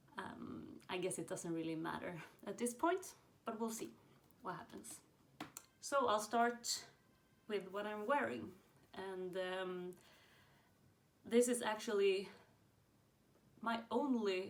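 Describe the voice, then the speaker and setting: With a Swedish accent and ordinary pitch variation, the speaker goes at a very slow pace with long, frequent pauses over noticeable background noise. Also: woman, medium pitch for a woman. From Sweden. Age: 20s. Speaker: knitting podcaster. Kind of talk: casual chat. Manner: hesitant, many fillers.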